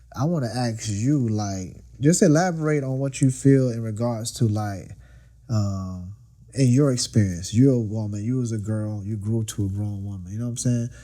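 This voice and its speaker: Over audible room echo, a man with a dark, mellow tone and medium pitch talks at a moderate pace. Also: ordinary pitch variation. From Florida, US South. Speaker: podcast host. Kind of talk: casual chat. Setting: studio.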